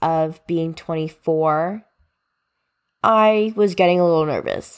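A woman speaks in an unremarkable speaking voice with an American accent, at a fairly slow pace with ordinary pitch variation. The recording is very clean, with a silent background. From US Northeast, New Jersey. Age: 20s. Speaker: podcast host. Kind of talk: solo podcast monologue. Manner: casual, chatty.

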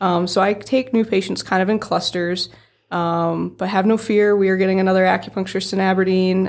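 Here a woman speaks in an Upper Midwest accent at a moderate pace, with a medium pitch and monotone, flat intonation. The recording is very clean with a silent background. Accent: Upper Midwest American. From South Dakota, around Aberdeen. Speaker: acupuncturist. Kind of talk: casual interview.

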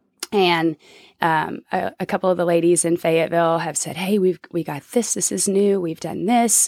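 A woman with an ordinary speaking voice and an American accent speaks at a fairly low pitch with ordinary pitch variation, the sound dry and close with no echo in a very clean recording over a silent background. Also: moderate pace. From Oklahoma City, Oklahoma. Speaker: college basketball coach. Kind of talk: casual interview chat.

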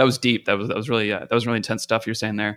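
A man with a Canadian accent speaks in a bright, sharp tone with ordinary pitch variation. The sound is dry and close, with no echo. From Canada. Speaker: live sound engineer. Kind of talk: casual interview. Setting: on the road, remote call.

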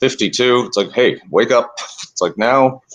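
Speaking at a fairly slow pace with fairly even intonation, a man with a Canadian accent has an unremarkable speaking voice. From Canada, Toronto. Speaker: natural food store owner. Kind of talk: casual interview.

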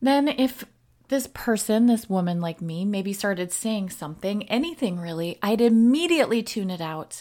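With an American accent, this voice moves at a moderate pace with lively intonation on a very clean recording with a silent background. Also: woman. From US North, Wisconsin. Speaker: podcast host, recovery social worker. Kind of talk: solo podcast reflection.

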